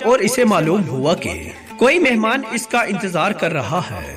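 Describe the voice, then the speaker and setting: A man with a high pitch and very wide pitch swings, music in the background. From Pakistan. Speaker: voice over artist. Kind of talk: Islamic story narration.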